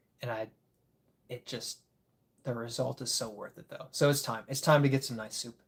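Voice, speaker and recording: A somewhat breathy man with an American accent speaks with ordinary pitch variation. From Michigan (Grand Rapids area). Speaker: disc golf content creator, live streamer. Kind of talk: casual live stream chat. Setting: live stream.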